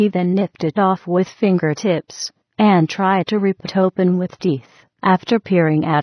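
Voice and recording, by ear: Reading aloud in a natural voice, the speaker keeps a fairly even intonation over a quiet background.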